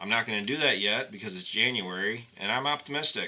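Ordinary pitch variation shapes a man's speech. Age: 20s. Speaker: farmer and video blogger; farmer vlogger. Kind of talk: casual vlog monologue. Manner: animated. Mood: earnest, somewhat weary. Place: home room. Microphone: webcam.

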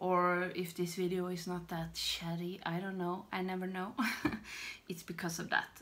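A woman speaks with a Swedish accent. Her intonation is monotone and flat. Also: moderate pace. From Sweden. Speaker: beauty vlogger. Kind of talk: casual talk to camera. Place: home room. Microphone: phone near.

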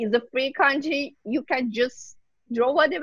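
A woman with a high pitch at a fairly slow pace, a dry sound with no echo, and a quiet background. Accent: Persian. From Iran. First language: Persian. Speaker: painter; guest. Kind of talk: interview. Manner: halting. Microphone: video call.

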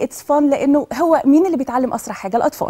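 A woman with an Egyptian accent speaks in a high voice with a dark, mellow tone against a quiet background. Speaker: education specialist; guest. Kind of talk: TV talk show interview. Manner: animated. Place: studio.

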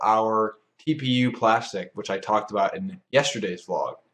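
The speaker is a man. His voice rises and falls with ordinary pitch variation. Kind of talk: casual engineering vlog. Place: workshop. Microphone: camera far.

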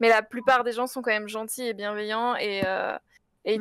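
At a fairly quick pace, a woman with fairly high pitch speaks in monotone, flat intonation. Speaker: streamer, beautician. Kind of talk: casual chat.

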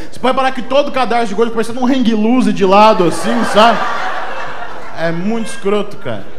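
Over noticeable background noise, a man speaks at a fairly quick pace in an extremely high pitch, with ordinary pitch variation. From Brazil. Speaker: stand-up comedian. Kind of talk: stand-up comedy, self-deprecating fat-body observational jokes. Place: bar. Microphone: handheld.

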